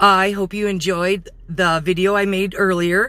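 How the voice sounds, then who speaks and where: A loud woman speaks at a very slow pace with a bright, sharp tone and medium pitch. The recording is very clean, with a silent background. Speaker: vlogger. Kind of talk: casual vlog talk to camera. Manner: halting, with fillers.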